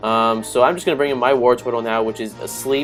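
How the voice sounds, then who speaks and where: A medium-pitched male voice with music in the background. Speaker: gaming commentator. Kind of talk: game commentary narration. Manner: casual, hesitant with fillers.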